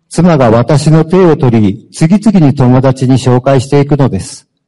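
A man speaks at a moderate pace with a fairly high pitch, lively intonation and a dark, mellow tone. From Japan, Fukuoka. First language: Japanese (speaking Spanish). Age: 50s. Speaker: former prisoner. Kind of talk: testimony.

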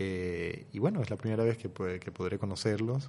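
With a dark, mellow tone, the man talks against a quiet background. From Costa Rica. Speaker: novelist. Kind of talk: radio interview.

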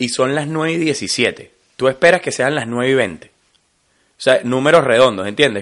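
With a Venezuelan accent, a man speaks at a moderate pace and medium pitch. His tone is bright and sharp, and his pitch varies in an ordinary way. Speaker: podcast co-host. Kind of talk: casual chat. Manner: animated.

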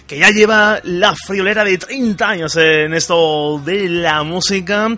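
Noticeable background noise under a man's high voice with ordinary pitch variation. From Andalusia, Spain. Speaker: radio host. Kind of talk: radio interview.

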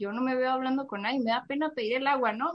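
The woman's voice is high in pitch. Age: 20s. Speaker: recent marketing graduate. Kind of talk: interview.

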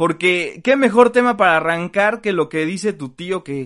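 At a moderate pace, a man speaks in a high pitch with lively intonation against a quiet background. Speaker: sports comedy podcast host. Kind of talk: casual comedic chat.

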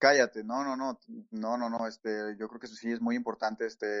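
A man speaks at a moderate pace in a medium pitch, his intonation flat and monotone. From Mexico. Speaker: immigrant interviewee. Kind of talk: casual interview. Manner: halting, many fillers.

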